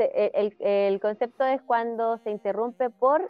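A woman's fairly high voice in a Chilean accent. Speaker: podcast co-host. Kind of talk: casual chat. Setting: live stream. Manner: loud.

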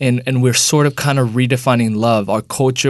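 Over a quiet background, a man talks at a moderate pace. His pitch is medium, with ordinary pitch variation. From United States. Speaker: church leader and speaker.

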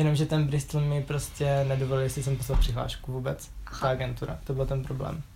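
A man with a medium pitch speaks very fast, with hardly any pauses. His intonation stays monotone and flat. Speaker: university student. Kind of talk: casual interview.

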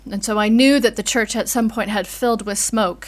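The pace is moderate. The voice is an unremarkable speaking voice. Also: woman. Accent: American. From US. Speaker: vicar. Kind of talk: interview conversation.

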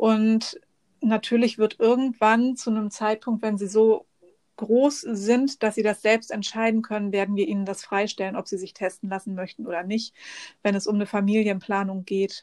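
Here a woman speaks in a normal speaking voice at a fairly high pitch, with fairly even intonation and a moderate pace. The recording is very clean, with a silent background. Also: dry, close sound with no echo. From northern Germany, near Bremen. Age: 40s. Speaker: podcast guest with an eye disease. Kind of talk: casual interview.

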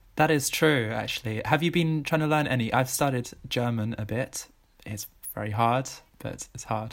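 A man with an unremarkable speaking voice, medium pitch, ordinary pitch variation and a moderate pace. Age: 20s. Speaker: travel enthusiast. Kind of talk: casual chat.

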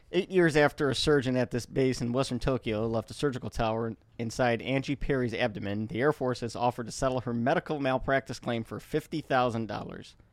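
A man at medium pitch with ordinary pitch variation, talking at a very fast pace with hardly any pauses, in a dry, close sound with no echo

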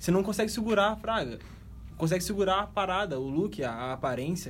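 A man's voice at a moderate pace, with audible room echo. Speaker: podcast host. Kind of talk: casual chat.

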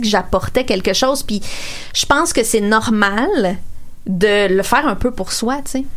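A woman's fairly high voice with lively intonation at a moderate pace, amid noticeable background noise and audible room echo. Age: 30s. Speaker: radio columnist. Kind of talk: casual chat.

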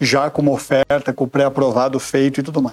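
Here a man speaks in a fairly high pitch at a moderate pace. He has a plain, everyday voice. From São Paulo, Brazil. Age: 40s. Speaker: insurance sales executive. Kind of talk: interview. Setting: studio.

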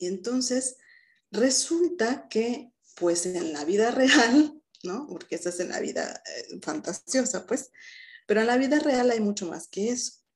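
Her high-pitched voice swings very widely in pitch at a fairly slow pace. A woman speaks with big swings in loudness. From Mexico, Mérida, Yucatán. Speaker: psychologist. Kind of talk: interview conversation.

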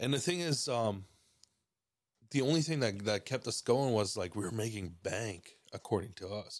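The man has an unremarkable speaking voice with medium pitch. He talks at a moderate pace with lively intonation. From Mexico (Cuauhtémoc, Chihuahua), moved to Canada at 16. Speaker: photographer and videographer. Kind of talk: casual chat.

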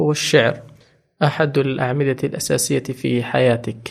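At a moderate pace, a man speaks at medium pitch with vocal fry. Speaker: podcast host. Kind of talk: interview. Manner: formal.

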